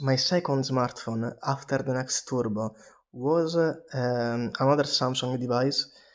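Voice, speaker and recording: Fairly slow delivery from a man with a medium-pitched voice. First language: not English. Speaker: vlogger. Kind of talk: casual monologue. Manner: halting, many fillers.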